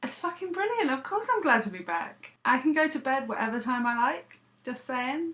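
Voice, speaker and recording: A woman speaks in an English accent with a high pitch and very wide pitch swings. Her tone is bright and sharp, and her pace is moderate. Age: 30s. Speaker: vlogger. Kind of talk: casual vlog monologue.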